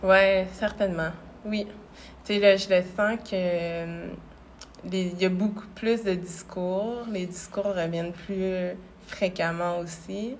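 Someone with a Quebec accent speaks at a very slow pace in a monotone, flat intonation, with long, frequent pauses. Audible room echo surrounds the voice. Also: woman, medium pitch for a woman. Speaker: clothing brand founder. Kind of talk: interview. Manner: calm, gentle.

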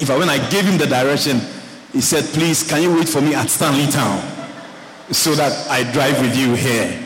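A man's fairly high voice at very even loudness, with noticeable background noise. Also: ordinary pitch variation, moderate pace. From Ghana. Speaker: pastor. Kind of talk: sermon. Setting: church.

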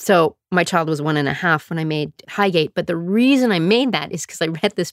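A woman speaks at a moderate pace in a fairly low pitch with an animated, playful tone, on a very clean recording with a silent background. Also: dry, close sound with no echo. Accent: western Canadian. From Calgary, Alberta, Canada. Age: 50s. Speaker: podcast host, choreographer and performer. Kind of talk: casual self-interview monologue.

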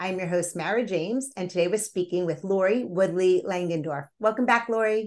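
An unremarkable speaking voice with ordinary pitch variation. It moves at a fairly quick pace with hardly any pauses. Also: woman, medium pitch for a woman. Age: 50s. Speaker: podcast host. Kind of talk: interview conversation.

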